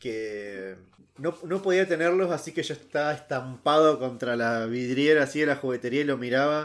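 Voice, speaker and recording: Speaking in an unremarkable speaking voice, a man with a fairly high pitch and ordinary pitch variation keeps a moderate pace. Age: 30s. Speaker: podcast co-host. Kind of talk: casual chat.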